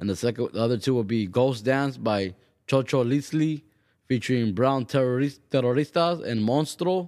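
A man speaks at a moderate pace in a plain, everyday voice, medium-pitched with ordinary pitch variation and very even loudness, on a very clean recording with a silent background. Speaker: radio host. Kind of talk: radio DJ patter between tracks. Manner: relaxed, upbeat, repetitive stock phrases like 'hope you guys enjoyed that great track'; casual and mellow, a bit lifted.

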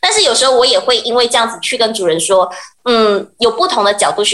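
A woman speaks very fast at a fairly high pitch. Noticeable background noise is present. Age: 20s. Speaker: pet communicator. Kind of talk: radio interview.

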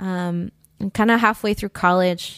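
Over a very clean recording with a silent background, a woman with a Spanish accent talks at medium pitch with fairly even intonation, the sound dry and close with no echo. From Colombia (Bogota), moved to Pennsylvania at 10. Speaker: singer-songwriter. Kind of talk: casual interview chat.

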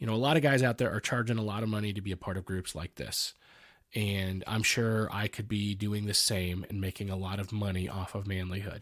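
Fairly quick and fairly low-pitched, a man with an unremarkable speaking voice keeps his intonation fairly even in a very clean recording with a silent background. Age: 40s. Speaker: podcast host. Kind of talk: casual interview; promotional outro. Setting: studio.

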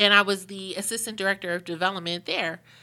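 A woman with an American accent speaks at medium pitch in a bright, sharp, flat monotone. Her pace is fairly quick, and the recording is very clean with a silent background. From Pittsburgh, Pennsylvania. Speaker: museum president and CEO. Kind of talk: interview conversation.

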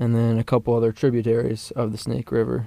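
A man's medium-pitched voice with a dark, mellow tone and an American accent, at a moderate pace. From Colorado (Parker, near Denver). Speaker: university fishing club officer. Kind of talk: casual chat.

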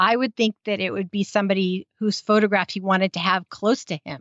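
In a General American accent, a woman with an unremarkable speaking voice talks at medium pitch with fairly even intonation. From United States. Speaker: podcast host. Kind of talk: casual chat, recap.

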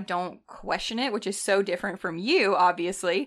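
The background stays quiet as a woman talks with a Southern US accent. Her pace is moderate. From North Alabama. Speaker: nurse. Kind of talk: casual chat. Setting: home studio.

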